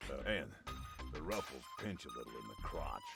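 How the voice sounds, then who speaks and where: A man talks at a fairly quick pace in a put-on character voice, with loud music playing in the background. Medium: video game. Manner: wry, easygoing.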